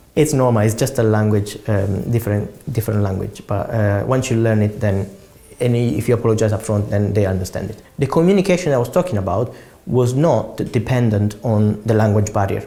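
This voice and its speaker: A man with an Italian accent, fairly low pitch and a fairly quick pace. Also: ordinary pitch variation. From Italy. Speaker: property investor. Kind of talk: interview answers. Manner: halting, with repeated words.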